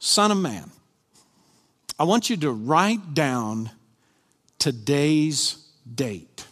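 A man's fairly high voice in a Kentucky accent, very slow, with very wide pitch swings and long, frequent pauses. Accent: Southern US (Kentucky). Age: 50s. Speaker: pastor. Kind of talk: sermon. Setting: church with live congregation.

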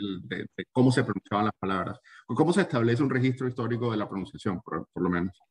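Very fast and lively in intonation, a somewhat breathy man of medium pitch talks with a Latin American accent in a dry, close sound with no echo. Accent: Latin American Spanish with seseo. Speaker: book podcast host. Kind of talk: interview.

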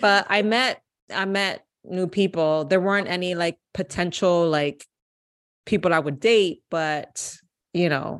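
A woman speaks at a fairly slow pace over a quiet background, her pitch medium and its variation ordinary. Hers is an unremarkable speaking voice. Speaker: podcast guest. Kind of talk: casual chat.

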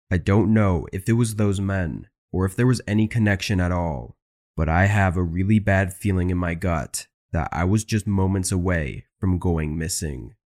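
The sound is dry and close with no echo, a very clean recording with a silent background, at a moderate pace with ordinary pitch variation. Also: man, very deep, low pitch for a man. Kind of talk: true-crime horror narration, reading listener-submitted stories aloud. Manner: tense and ominous, building dread.

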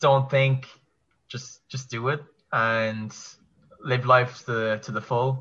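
A man with a Kerry accent, bright and sharp in tone, at a very slow pace. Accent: Kerry Irish. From Ireland, County Kerry. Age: 20s. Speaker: online English teacher. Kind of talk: casual chat.

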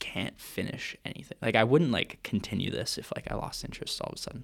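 Here a man talks at a fairly quick pace with lively intonation. His is a normal speaking voice at a medium pitch. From Vancouver, Canada. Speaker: co-host of student podcast. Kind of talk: casual chat between friends. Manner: casual, joking.

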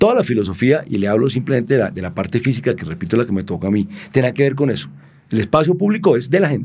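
In a medium pitch, a man talks at a very fast pace with a dark, mellow tone, vocal fry and very wide pitch swings. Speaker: former city infrastructure official. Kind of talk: interview conversation.

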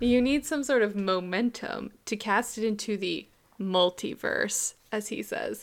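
Captured in a very clean recording with a silent background, an unremarkable speaking voice moves at a fairly slow pace with ordinary pitch variation. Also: woman, fairly high pitch for a woman. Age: 30s. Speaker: podcast co-host. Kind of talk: casual chat.

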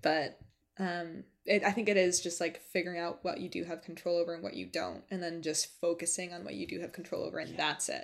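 A woman's voice with vocal fry, a very fast pace and fairly even intonation. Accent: American. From Western New York (rural, near Buffalo). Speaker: podcast host. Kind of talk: solo podcast outro; casual chat.

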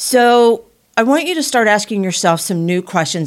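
A woman speaks at a moderate pace in a plain, everyday voice, her intonation lively. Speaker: podcast host. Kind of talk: casual conversational podcast chat.

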